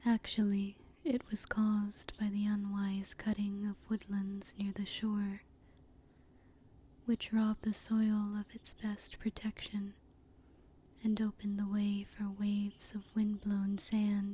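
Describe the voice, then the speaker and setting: The voice is soft-spoken. The pace is very slow. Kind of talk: ASMR story reading.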